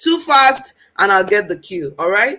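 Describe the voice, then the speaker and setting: A woman with very wide pitch swings and a bright, sharp tone. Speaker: parenting coach. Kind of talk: live Q&A livestream. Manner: fast.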